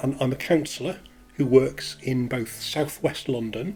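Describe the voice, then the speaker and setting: Speaking at a fairly slow pace, a man with a medium pitch uses ordinary pitch variation. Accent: Leeds. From northern England, Leeds. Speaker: counsellor. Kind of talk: casual personal introduction to camera. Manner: hesitant, with fillers.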